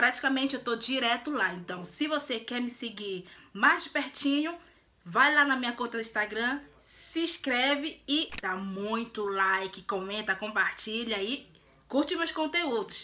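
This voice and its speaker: Her voice high and her tone bright and sharp, a woman speaks at a fairly slow pace with lively intonation. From Brazil. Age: 20s. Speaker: lifestyle and beauty vlogger; beauty vlogger. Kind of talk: casual vlog introduction. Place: home room. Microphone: phone near.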